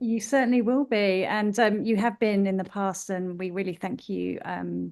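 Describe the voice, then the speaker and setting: Over a quiet background, a woman with a British accent talks at medium pitch. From UK. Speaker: running group founder. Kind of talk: interview.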